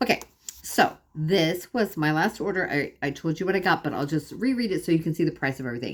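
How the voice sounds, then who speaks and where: A woman's fairly low-pitched, animated voice at a very fast pace, with lively intonation. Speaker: lifestyle vlogger. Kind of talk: casual vlog monologue.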